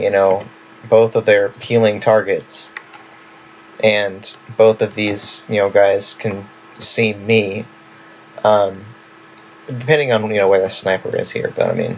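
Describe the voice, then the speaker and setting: Over noticeable background noise, a man with a fairly low pitch speaks fairly slowly in a flat monotone, leaving long, frequent pauses. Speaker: gaming video creator. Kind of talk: tutorial. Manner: casual, filler-heavy.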